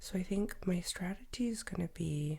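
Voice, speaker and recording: A woman is whispering. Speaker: art tutorial youtuber. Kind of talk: tutorial. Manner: casual, chatty. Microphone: professional USB microphone.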